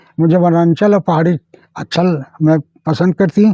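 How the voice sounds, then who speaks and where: A man with a high voice and a dark, mellow tone speaks with fairly even intonation, the sound dry and close with no echo. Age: 80s+. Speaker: village elder storyteller. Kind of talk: folk tale narration in interview.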